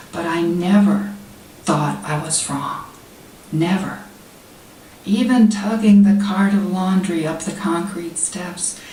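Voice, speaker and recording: Speaking at a very slow pace with long, frequent pauses, a woman keeps a medium pitch and fairly even intonation while her loudness swings widely over noticeable background noise. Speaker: poet. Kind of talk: poetry reading. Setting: live reading at a literary society event.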